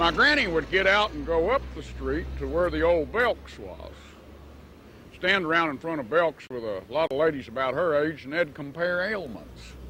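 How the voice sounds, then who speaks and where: A man talks with an Appalachian accent. He moves at a moderate pace. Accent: Appalachian Southern US. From US South, western North Carolina mountains. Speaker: storyteller. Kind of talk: storytelling. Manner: folksy, conversational.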